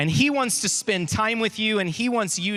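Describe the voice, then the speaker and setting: A man speaks with a Texas accent in a bright, sharp tone. His delivery is animated. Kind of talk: youth conference talk. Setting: stage with audience.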